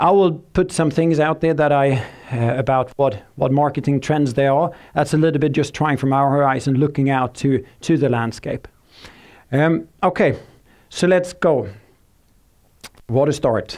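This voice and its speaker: In a Swedish accent, a man with a fairly high pitch speaks with very even loudness, ordinary pitch variation and long, frequent pauses on a very clean recording with a silent background. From Sweden. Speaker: tech company speaker. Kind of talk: conference presentation. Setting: stage with audience. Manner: fast; halting, many fillers.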